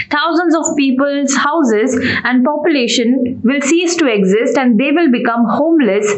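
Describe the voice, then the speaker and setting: A woman's moderately paced speech, with ordinary pitch variation, comes through noticeable background noise. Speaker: news reporter. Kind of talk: news reading. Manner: formal.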